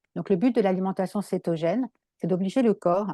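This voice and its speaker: Her voice fairly low with a dark, mellow tone, a woman speaks with a dry, close sound and no echo. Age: 60s. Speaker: naturopath. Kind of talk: interview. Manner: halting.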